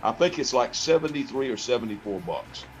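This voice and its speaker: A man speaks with lively intonation at a moderate pace while music plays in the background. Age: 60s. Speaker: webcast co-host. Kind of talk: casual chat. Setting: live webcast.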